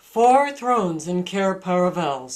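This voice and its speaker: Using a put-on character voice, a woman talks at a medium pitch and a fairly slow pace. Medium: read story. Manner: imperious, scornful.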